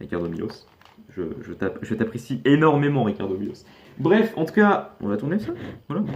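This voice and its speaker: With noticeable background noise, a man speaks at a moderate pace and a medium pitch. His pitch swings very widely, and he pauses long and often. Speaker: youtuber reacting to videos. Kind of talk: casual video reaction commentary. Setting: facecam recording at home. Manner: halting, stuttering.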